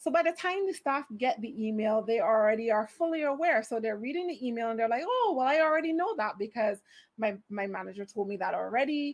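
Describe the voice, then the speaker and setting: Speaking in a Barbadian accent, a woman talks at a fairly quick pace with an animated tone, lively intonation and a fairly high pitch. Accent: Barbadian (Bajan). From Barbados. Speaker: HR manager, conference speaker. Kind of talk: conference talk.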